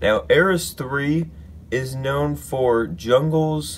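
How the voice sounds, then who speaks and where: Speaking at a very slow pace, a man with a medium pitch is heard over noticeable background noise. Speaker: LEGO builder, YouTuber. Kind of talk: casual talk to camera, showing a LEGO build.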